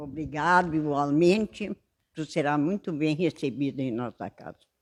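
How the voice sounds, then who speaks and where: A woman talks at a moderate pace in a very deep, low pitch, with ordinary pitch variation and big swings in loudness. The sound is dry and close, with no echo. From São Sepé, Rio Grande do Sul, Brazil. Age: 80s+. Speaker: retired shopkeeper and church minister. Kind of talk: interview. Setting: at her home.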